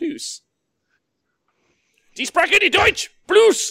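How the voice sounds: Using a raspy, put-on character voice, a man speaks at an extremely high pitch.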